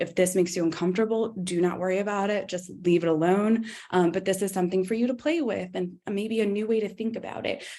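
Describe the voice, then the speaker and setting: Audible room echo surrounds a woman who talks at a very fast pace with hardly any pauses and fairly even intonation. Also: medium pitch for a woman. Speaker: camp director and educator. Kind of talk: conference talk. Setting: conference talk to audience. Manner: hesitant, many fillers.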